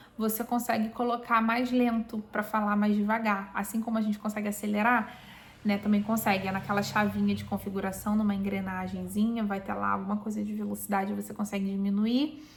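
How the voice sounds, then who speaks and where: A woman's fairly high, somewhat breathy voice carries fairly even intonation. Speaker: Bible reading YouTuber. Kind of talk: Bible reading aloud with commentary. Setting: home, recorded or live video.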